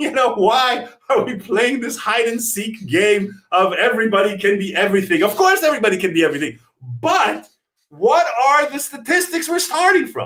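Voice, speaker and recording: An animated man's voice at an extremely high pitch, with very wide pitch swings. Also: moderate pace. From Israel. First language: Hebrew. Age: 40s. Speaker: comedian and TV writer. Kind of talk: live-stream comedy chat. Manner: animated, profane.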